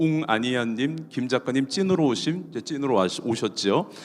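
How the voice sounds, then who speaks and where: With lively intonation, a man talks at a moderate pace in a normal speaking voice. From Daegu, South Korea. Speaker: announcer hosting a talk concert. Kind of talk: live talk show hosting. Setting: stage with audience, streamed live.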